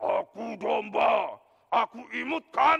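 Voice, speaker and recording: Here a man puts on a character voice with an extremely high pitch. He speaks at a very slow pace. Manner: cute act over a dragon voice.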